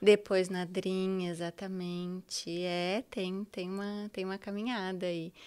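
Very slow, monotone, flat delivery with hardly any pauses. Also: woman, medium pitch for a woman. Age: 40s. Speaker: teacher and diversity consultant. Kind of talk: interview.

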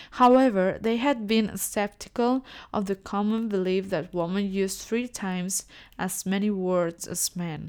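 A woman's medium-pitched voice with a non-native accent, fairly slow and ordinary in pitch variation, in a very clean recording with a silent background. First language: not English. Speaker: English learner podcaster. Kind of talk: reading aloud; casual monologue. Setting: home recording. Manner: halting.

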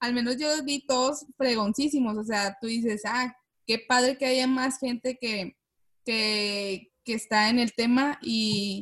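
Somewhat breathy, the voice comes in a northern Mexican accent, at a fairly slow pace with fairly even intonation. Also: woman. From Monterrey, northern Mexico. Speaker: podcast host. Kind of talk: casual interview chat.

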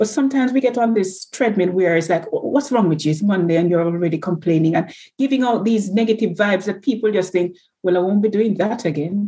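Talking at a very fast pace, a woman has a medium-pitched, somewhat breathy voice with a dark, mellow tone, ordinary pitch variation and very even loudness. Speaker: nurse. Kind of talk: casual interview.

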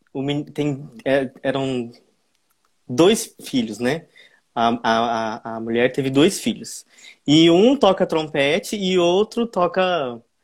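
This man's voice sits fairly high and moves with lively intonation at a very slow pace. The recording is very clean, with a silent background. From Brazil, interior of Goiás. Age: young. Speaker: flautist and flute teacher. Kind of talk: casual interview on a livestream.

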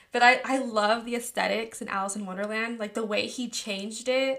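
A woman with a Californian accent talks at a moderate pace in a high pitch with a bright, sharp tone. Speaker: podcast host. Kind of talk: casual chat.

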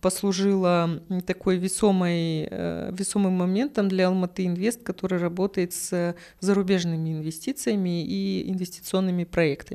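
On a very clean recording with a silent background, a woman speaks with a dark, mellow tone and fairly even intonation. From Kazakhstan. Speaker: creative industries manager. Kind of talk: casual chat.

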